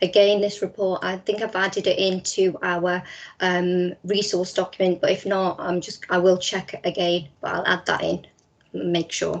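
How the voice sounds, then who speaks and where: With a Liverpool accent, a woman speaks at medium pitch and a moderate pace, her intonation monotone and flat. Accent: Scouse. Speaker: teacher trainer. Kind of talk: webinar presentation.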